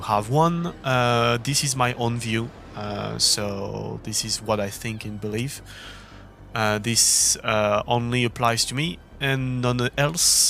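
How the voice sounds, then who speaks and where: With a French accent, a man talks at a very slow pace using ordinary pitch variation. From France. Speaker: esports racing gamer, video creator. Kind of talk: opinion monologue. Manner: hesitant with many fillers.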